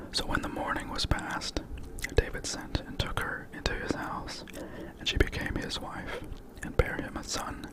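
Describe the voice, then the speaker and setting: With a fair amount of noise around it, a whisper moves along at a rather unhurried pace. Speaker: ASMR storyteller. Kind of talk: bedtime Bible reading. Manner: whispered.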